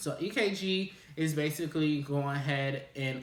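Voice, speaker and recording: In an ordinary speaking voice, a man speaks with a fairly high pitch and ordinary pitch variation. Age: 20s. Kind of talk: casual talk to camera.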